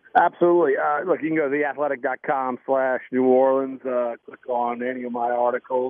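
A man with an unremarkable speaking voice talks fairly slowly at medium pitch, with fairly even intonation. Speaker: sports reporter. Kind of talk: sports interview, analysis. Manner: casual, conversational.

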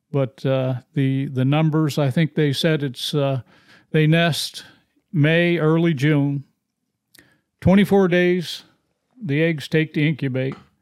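With a Maine accent, a man speaks at a very slow pace with long, frequent pauses, his fairly high voice holding very even loudness and fairly even intonation. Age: 60s. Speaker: podcast host, hunter. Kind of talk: casual conversation.

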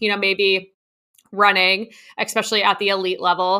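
A woman's bright, sharp tone at medium pitch and a moderate pace, on a very clean recording with a silent background. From New Jersey. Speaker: dietitian. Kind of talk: interview.

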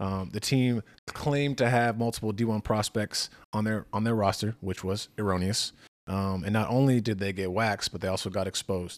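On a very clean recording with a silent background, a man speaks in a normal speaking voice, fairly low in pitch, at a moderate pace with fairly even intonation. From Massachusetts, New England. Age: 20s. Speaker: podcast co-host. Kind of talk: casual chat.

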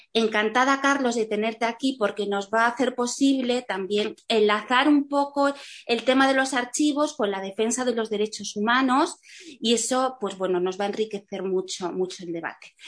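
A woman in a Castilian accent speaks at a fairly high pitch with ordinary pitch variation. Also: moderate pace. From Spain. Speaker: panel moderator. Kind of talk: panel moderation. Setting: video call.

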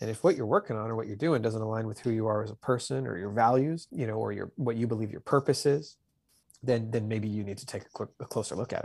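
Talking at a very fast pace, a man with a Canadian accent speaks at a medium pitch. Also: ordinary pitch variation. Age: 40s. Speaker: author and construction business owner. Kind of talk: interview. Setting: video call.

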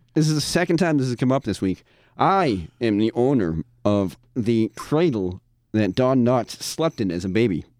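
Very wide pitch swings come at a moderate pace in a dry, close sound with no echo, on a very clean recording with a silent background. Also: man, medium pitch for a man. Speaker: radio producer and podcast co-host. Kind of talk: casual chat. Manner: eccentric, jokey.

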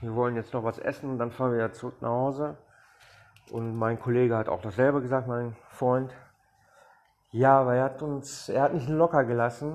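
His pitch sits in the medium range. The man keeps a moderate pace and fairly even intonation. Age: 40s. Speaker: podcaster, former addict. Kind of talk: testimony. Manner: hesitant, with fillers.

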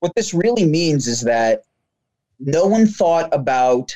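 A man with an American accent speaks at a fairly slow pace, his pitch swinging very widely. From New Jersey. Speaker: business operations and sales lead. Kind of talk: interview.

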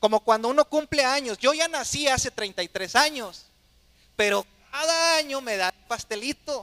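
A man raises and projects his extremely high-pitched voice, bright and sharp in tone, speaking at a fairly slow pace with lively intonation in a dry, close sound with no echo. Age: 30s. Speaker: pastor. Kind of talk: sermon.

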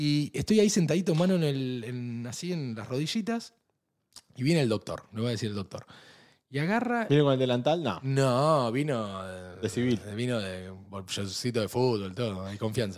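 In a plain, everyday voice of medium pitch, a man talks at a moderate pace with lively intonation. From Argentina. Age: 40s. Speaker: podcast host. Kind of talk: casual chat. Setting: studio.

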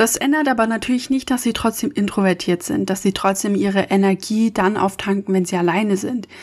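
A woman speaks at a fairly quick pace and a medium pitch, with hardly any pauses and very even loudness. It is a plain, everyday voice with ordinary pitch variation. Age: 20s. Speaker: podcast host. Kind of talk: solo monologue podcast.

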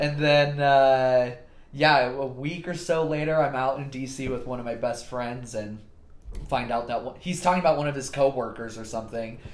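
A man at a moderate pace with audible room echo. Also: medium pitch for a man, fairly even intonation. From California, Fresno. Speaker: podcast guest, former missionary. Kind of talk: casual chat.

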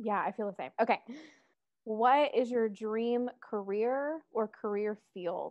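A fairly high-pitched woman with an American accent, at a very slow pace with ordinary pitch variation. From US South, Metro Atlanta. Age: 20s. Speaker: podcast co-host, social work student. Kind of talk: casual chat.

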